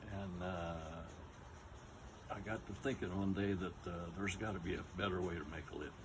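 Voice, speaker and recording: At a moderate pace and with fairly even intonation, the speech comes through noticeable background noise. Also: man, very deep, low pitch for a man. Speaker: retired real estate appraiser. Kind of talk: interview answer. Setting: outdoors.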